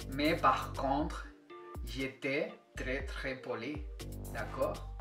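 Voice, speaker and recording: With music in the background, a man with a Spanish accent speaks at a very slow pace. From Spain. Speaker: Spanish teacher. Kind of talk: language lesson to camera.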